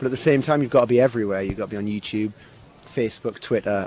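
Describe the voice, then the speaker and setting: A man with a northeast English accent and ordinary pitch variation, over noticeable background noise. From northeast England, Sunderland. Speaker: singer-songwriter. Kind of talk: interview. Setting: live music venue. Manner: hesitant, many repetitions and fillers.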